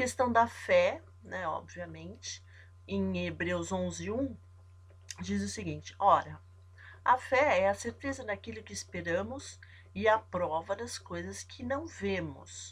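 On a very clean recording with a silent background, a woman speaks at a very slow pace with long, frequent pauses. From São Paulo, Brazil. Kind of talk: devotional Bible teaching. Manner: halting, stops often.

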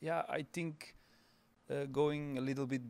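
A man talks at a moderate pace in an ordinary speaking voice. His intonation stays fairly even. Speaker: show jumping rider. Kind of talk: casual chat.

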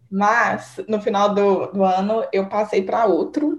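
Noticeable background noise runs beneath a woman talking at a medium pitch. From Minas Gerais, Brazil (Divinópolis). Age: 20s. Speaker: medical student. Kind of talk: casual interview. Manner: fast.

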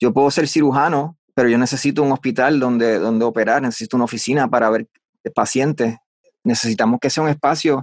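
A normal speaking voice with ordinary pitch variation comes through in a dry, close sound with no echo. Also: man. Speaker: voice-over artist. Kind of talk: interview.

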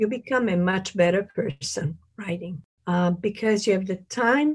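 Speaking very slowly, a woman with a medium-pitched, somewhat breathy voice uses lively intonation. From Italy. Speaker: novelist. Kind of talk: interview. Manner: halting.

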